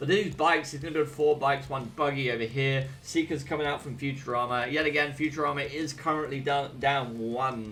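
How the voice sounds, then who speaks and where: A man with an English accent, fairly high in pitch and bright and sharp in tone, at a fairly quick pace with fairly even intonation. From England. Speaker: gaming streamer and caster. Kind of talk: live game commentary with chat. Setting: live stream. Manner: casual, chatty.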